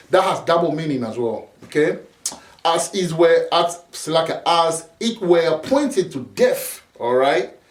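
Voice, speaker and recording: Over noticeable background noise, a high-pitched man with a non-native accent speaks at a fairly slow pace with lively intonation. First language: not English. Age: 40s. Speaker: preacher. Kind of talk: sermon. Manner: halting, repeats words; casual street slang.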